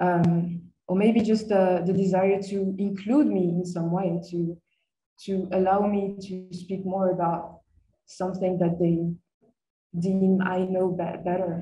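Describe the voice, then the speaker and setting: Music plays in the background as a woman speaks with a French accent at a medium pitch and a fairly slow pace. Her intonation is monotone and flat, and room echo is audible. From France. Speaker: master's student. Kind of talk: seminar presentation. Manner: hesitant, with frequent fillers.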